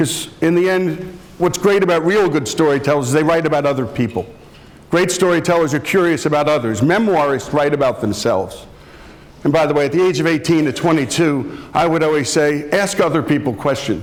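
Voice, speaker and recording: Over noticeable background noise, a man with a fairly high pitch talks at a fairly quick pace with ordinary pitch variation and very even loudness. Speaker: radio host and executive. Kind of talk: lecture to students.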